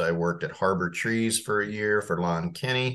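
Against a quiet background, a man speaks at a moderate pace. His pitch is fairly low. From Indiana, US Midwest. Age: 50s. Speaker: golf professional. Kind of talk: casual chat.

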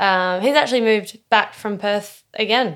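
A woman with an Australian accent speaks at a fairly slow pace and a fairly high pitch, with ordinary pitch variation. The recording is very clean with a silent background. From Tasmania, Australia (early years in Western Australia). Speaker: multidisciplinary artist and poet. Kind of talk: casual interview.

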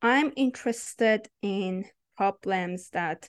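A woman with a Persian accent, medium pitch and ordinary pitch variation, very slow against a quiet background. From Iran. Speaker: PhD student in AI research. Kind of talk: interview.

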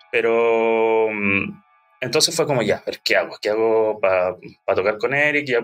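Music plays in the background as a man with a Chilean accent speaks at medium pitch. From Chile, Ñuble region (Bulnes, Chillán). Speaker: musician. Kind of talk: interview.

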